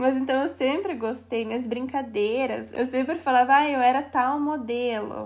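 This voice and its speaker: A woman with a Paraná accent speaks at a fairly slow pace in a high voice. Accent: Paraná interior. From Paraná, Brazil (Castro, interior). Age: 20s. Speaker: thrift store owner. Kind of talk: casual interview chat.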